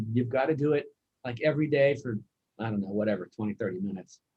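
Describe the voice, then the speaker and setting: Somewhat breathy, a man races along at a very fast pace with lively intonation. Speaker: family member telling childhood stories. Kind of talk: casual family chat. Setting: video call. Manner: repeats words, halting.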